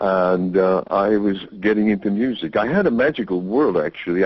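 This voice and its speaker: At a fairly slow pace, a man with an American accent talks in a fairly low pitch. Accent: American, noticeable to British listeners. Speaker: sound healing teacher and musician. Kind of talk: interview. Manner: halting with false starts.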